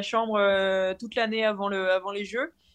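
Her pitch lands in the middle range. This woman delivers every line in a flat, monotone way. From northern France (Nord). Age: 20s. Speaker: professional cyclist. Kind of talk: interview. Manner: halting, many repetitions.

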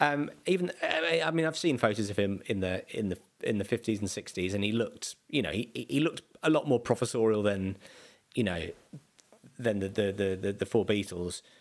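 The speaker has a South London accent and lively intonation. The delivery moves at a moderate pace. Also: man, fairly low pitch for a man. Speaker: comedian. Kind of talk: casual chat. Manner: halting.

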